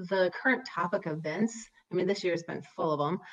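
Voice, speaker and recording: In a normal speaking voice, a woman with an American accent and a medium pitch talks at a fairly quick pace with ordinary pitch variation. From Wisconsin, US Midwest. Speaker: high school English teacher and author. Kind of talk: casual interview conversation.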